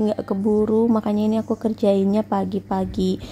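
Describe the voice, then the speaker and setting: The voice sounds somewhat breathy with a dark, mellow tone, moving at a moderate pace. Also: woman. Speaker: housewife vlogger and small vendor. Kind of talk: casual vlog talk.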